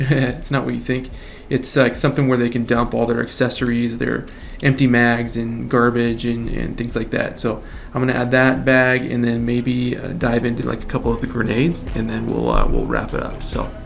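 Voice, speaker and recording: A man at medium pitch speaks at a moderate pace with monotone, flat intonation, amid audible room echo and noticeable background noise. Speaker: 3D artist. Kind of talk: tutorial.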